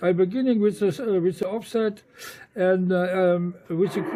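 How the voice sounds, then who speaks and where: The voice has a dark, mellow tone and a German accent. It moves at a moderate pace. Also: man. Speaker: amateur radio operator. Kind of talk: radio contact conversation. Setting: satellite radio link. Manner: halting, many fillers.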